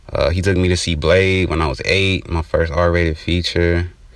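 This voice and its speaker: Against noticeable background noise, a man talks at a moderate pace in a very deep, low pitch. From Inglewood, California. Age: 20s. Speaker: filmmaker and podcast co-host. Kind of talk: casual chat.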